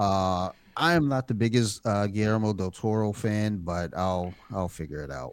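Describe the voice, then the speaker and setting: With an unremarkable speaking voice, a man talks at a moderate pace, his fairly low pitch carrying lively intonation. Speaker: horror podcast host. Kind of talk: casual chat.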